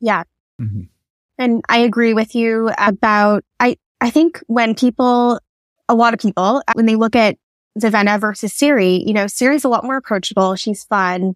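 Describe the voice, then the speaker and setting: A woman's unremarkable speaking voice, fairly high in pitch, with ordinary pitch variation at a moderate pace and a dry, close sound with no echo. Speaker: guest book fan. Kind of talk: casual chat.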